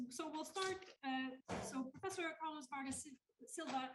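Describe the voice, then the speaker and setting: Loud and with lively intonation, a woman talks at a moderate pace. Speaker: panel chair. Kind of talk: panel introduction. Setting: conference hall with audience. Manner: hesitant, many fillers.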